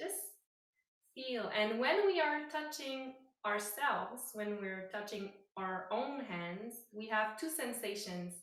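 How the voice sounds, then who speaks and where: With a non-native accent, a woman speaks very slowly at a fairly high pitch and with lively intonation, and room echo is audible. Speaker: yoga teacher. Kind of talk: guided meditation. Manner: halting.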